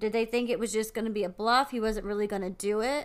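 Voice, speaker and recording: A woman's fairly high-pitched voice with fairly even intonation, an ordinary speaking voice, on a very clean recording with a silent background. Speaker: podcast co-host. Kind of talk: casual chat.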